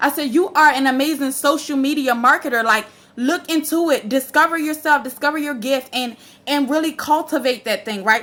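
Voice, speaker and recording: A woman's high, bright, sharp voice, animated in tone, at a fairly quick pace. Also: ordinary pitch variation. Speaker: ministry founder and motivational speaker. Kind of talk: motivational talk. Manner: fast.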